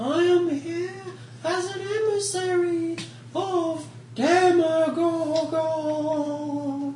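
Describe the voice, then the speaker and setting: Someone uses a put-on character voice pitched extremely high, speaking very slowly over clear background noise. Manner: put-on dramatic voice.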